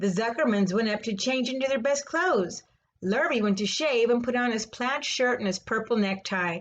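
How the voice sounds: This is a natural reading voice. Its pitch shifts by an ordinary amount.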